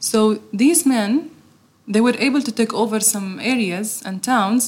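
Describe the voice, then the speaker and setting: A somewhat breathy woman's voice, fairly high in pitch, with ordinary pitch variation. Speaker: interpreter. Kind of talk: live interpreting.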